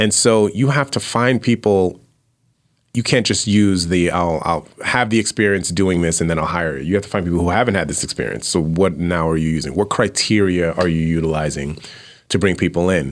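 With an American accent, a man talks at a fairly quick pace. His pitch is very deep and low, with ordinary pitch variation. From Brooklyn, New York. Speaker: business professor. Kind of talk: casual interview. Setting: studio.

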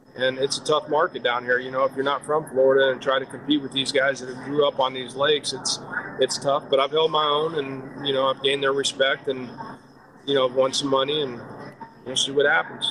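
Against noticeable background noise, a man speaks fairly quickly at medium pitch with a monotone, flat intonation. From Wisconsin. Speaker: professional bass angler and fishing guide. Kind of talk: casual interview. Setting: remote call.

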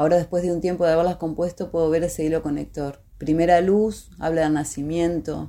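This woman has a very deep, low pitch. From Argentina, Gualeguay, Entre Ríos. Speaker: singer-songwriter. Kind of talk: personal testimony.

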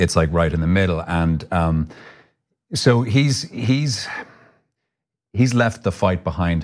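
Very deep and low in pitch, a man with an Irish accent speaks at a very slow pace with long, frequent pauses and lively intonation, on a very clean recording with a silent background. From Ireland. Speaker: actor. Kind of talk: interview.

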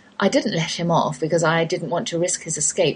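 Against noticeable background noise, a woman with fairly low pitch speaks at a fairly quick pace. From England. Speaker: homeschooling radio host. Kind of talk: radio talk show hosting.

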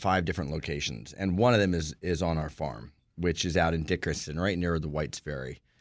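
A man speaks with an American accent. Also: very clean recording, silent background. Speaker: farm and camp operator. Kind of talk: interview.

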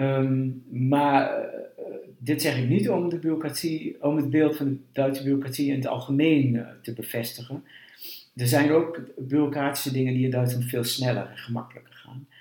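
Somewhat breathy and dark, mellow in tone, a man speaks at a moderate pace with a fairly high pitch and fairly even intonation. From eastern Netherlands, Twente. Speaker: historian, university director. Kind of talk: interview. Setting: at his home.

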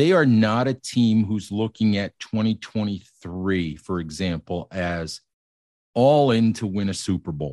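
The sound is dry and close with no echo as a man speaks at a fairly slow pace. He has an unremarkable speaking voice with a fairly low pitch. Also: lively intonation. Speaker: sports writer. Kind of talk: casual sports chat.

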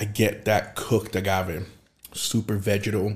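A man's somewhat breathy, fairly low voice, monotone with flat intonation. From southern Brazil. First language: Portuguese. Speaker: tequila and spirits content creator. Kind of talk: casual chat.

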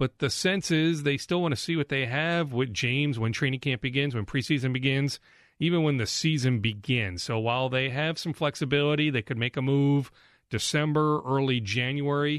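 A plain, everyday voice: a man with an American accent, fairly high in pitch, at a moderate pace, with ordinary pitch variation, very even loudness, and a quiet background. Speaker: sports reporter and podcast host. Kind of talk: sports news podcast monologue and interview.

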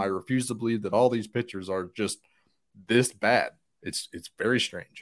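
A man speaks at a moderate pace in a medium pitch with fairly even intonation. It is an ordinary speaking voice. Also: very clean recording, silent background. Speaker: podcast co-host.

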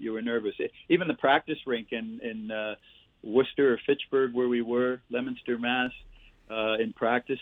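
A man with a Canadian accent has an unremarkable speaking voice. His pitch is medium and his intonation fairly even. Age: 60s. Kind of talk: casual interview storytelling. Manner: chatty storyteller.

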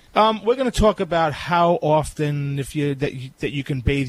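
The speaker talks at a very fast pace in a somewhat breathy voice. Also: man. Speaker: pet groomer. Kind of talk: call-in advice show.

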